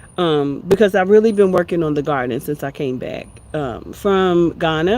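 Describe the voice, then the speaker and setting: A woman with a fairly low pitch and ordinary pitch variation speaks fairly slowly over noticeable background noise. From USA. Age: 60s. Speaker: homesteading and wellbeing livestreamer. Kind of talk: casual livestream chat. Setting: outdoors in backyard.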